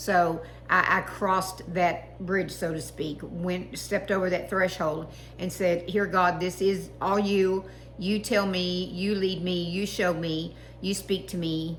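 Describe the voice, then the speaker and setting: In a Texas accent, a woman speaks at a fairly slow pace with a fairly low pitch and monotone, flat intonation. The room echo is audible and the background noise is noticeable. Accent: Texas twang. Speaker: online Bible reader. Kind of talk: reading aloud and personal reflection. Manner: halting, many fillers.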